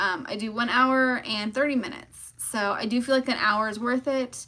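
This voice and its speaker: Pitched high, a woman's voice has a bright, sharp tone, fairly even intonation and a moderate pace. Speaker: online seller and e-commerce coach. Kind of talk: live stream Q&A. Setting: live stream. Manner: casual with many fillers.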